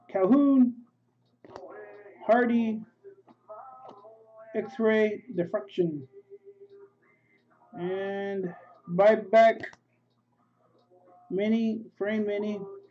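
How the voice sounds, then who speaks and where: Someone speaks at a very slow pace with long, frequent pauses while music plays in the background. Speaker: sports card breaker. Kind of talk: live card break stream. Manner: mumbling.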